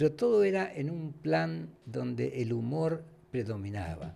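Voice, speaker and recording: This dark, mellow voice is somewhat breathy and swings very widely in pitch. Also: man. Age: 80s+. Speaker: former radio and TV host; former radio, TV host. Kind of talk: casual interview. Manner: halting. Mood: warm, animated storytelling. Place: studio. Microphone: studio mic.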